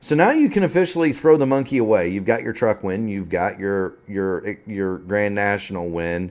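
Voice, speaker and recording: Using a plain, everyday voice, a man speaks at a moderate pace with a fairly low pitch, lively intonation and hardly any pauses. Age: 40s. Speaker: sim racing broadcast commentator. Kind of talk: post-race interview.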